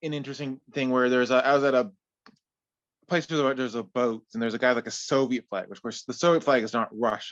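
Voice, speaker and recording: At a very fast pace, a man talks in a medium pitch with ordinary pitch variation, the sound dry and close with no echo. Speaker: political forum participant. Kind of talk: open discussion contribution. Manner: halting, repetitive.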